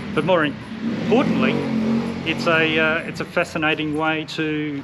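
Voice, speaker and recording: A fairly high-pitched man with an Australian accent, over noticeable background noise. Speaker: digital nomad business owner. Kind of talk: casual interview chat.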